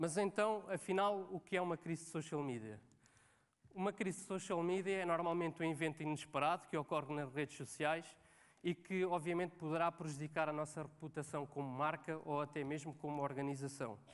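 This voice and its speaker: With a Lisbon accent, a man talks at a fairly quick pace and a fairly high pitch. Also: ordinary pitch variation. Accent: European Portuguese, Lisbon. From Portugal, Cascais area (Lisbon). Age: 30s. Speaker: social media manager, conference speaker. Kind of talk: conference talk. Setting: stage with audience. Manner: hesitant, many fillers.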